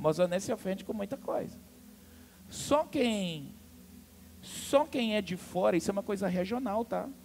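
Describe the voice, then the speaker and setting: Over background music, a man with a high pitch and lively intonation talks at a moderate pace. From Amazonas, Brazil. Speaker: pastor. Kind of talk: sermon. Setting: church. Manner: animated.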